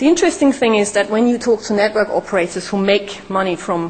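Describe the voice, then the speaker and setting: A woman with a non-native accent at medium pitch and a moderate pace, with ordinary pitch variation amid noticeable background noise. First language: not English. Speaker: startup founder, conference speaker. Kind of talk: conference talk.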